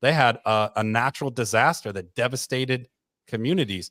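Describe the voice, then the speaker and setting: A man with an American accent and a normal speaking voice, medium pitch and ordinary pitch variation, in a very clean recording with a silent background and a dry, close sound with no echo. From Michigan, US. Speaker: education professor and show co-host. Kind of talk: radio talk show discussion.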